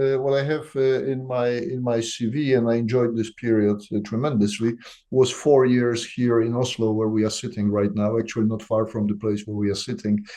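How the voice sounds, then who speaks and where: The tone is dark and mellow, with a Polish accent. Pitch varies in an ordinary way at a moderate pace. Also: man. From Poland. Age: 60s. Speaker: company CEO. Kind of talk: business interview. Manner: hesitant, many fillers.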